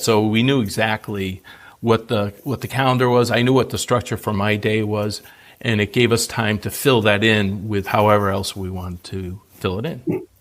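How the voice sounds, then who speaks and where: On a very clean recording with a silent background, a man in an ordinary speaking voice talks fairly low at a moderate pace with fairly even intonation. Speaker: retiree. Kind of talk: interview answer. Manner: casual, conversational.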